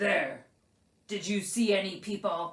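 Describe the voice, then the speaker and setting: This is a put-on character voice, growling at a fairly high pitch. It moves at a fairly slow pace. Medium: read story.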